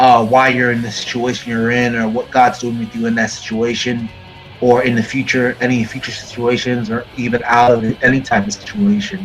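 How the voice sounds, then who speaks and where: With music in the background, a man of medium pitch speaks at a moderate pace in a monotone, flat manner. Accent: American. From Florida. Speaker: metal musician. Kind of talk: interview. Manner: halting, many fillers.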